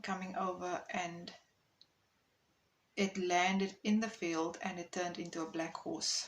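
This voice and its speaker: The woman speaks at a very slow pace. Her intonation is monotone and flat. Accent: South African. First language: Afrikaans. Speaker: content creator. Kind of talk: personal testimony. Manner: hesitant, many fillers.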